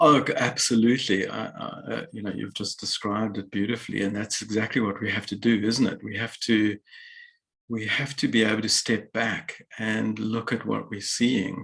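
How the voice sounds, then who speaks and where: A man with vocal fry and a fairly low pitch speaks at a moderate pace in a monotone, flat intonation. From South Africa. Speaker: author and psychologist. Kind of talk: interview. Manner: hesitant, many fillers.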